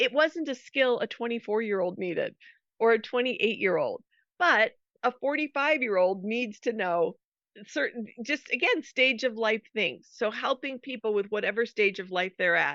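Speaking with an American accent, a woman has a plain, everyday voice. Her pitch is fairly high, her intonation lively, and her pace moderate. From US, Colorado (Denver suburb). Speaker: former missionary, ministry founder. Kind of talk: interview.

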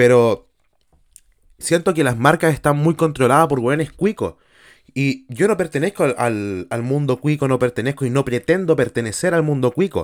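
Speaking in a Chilean accent at a moderate pace, a man has a fairly high pitch, ordinary pitch variation and an animated tone. The sound is dry and close with no echo, on a very clean recording with a silent background. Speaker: podcaster. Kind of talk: casual monologue.

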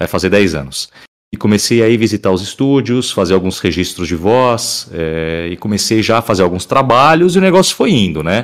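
The man has a fairly low voice and keeps a moderate pace. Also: lively intonation. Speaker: voice actor. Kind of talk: casual chat.

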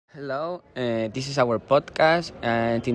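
With a Spanish accent, a man is talking. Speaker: student podcast host. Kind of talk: scripted student podcast and interview. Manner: halting with fillers.

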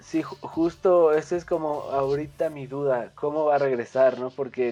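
At a very slow pace, a man with a central Mexican accent speaks in a dark, mellow tone with fairly even intonation. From Mexico. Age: 20s. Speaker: sports image consultant. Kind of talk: casual chat. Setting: remote call. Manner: halting.

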